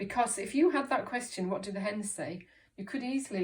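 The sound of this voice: Ordinary pitch variation in an unforced reading voice.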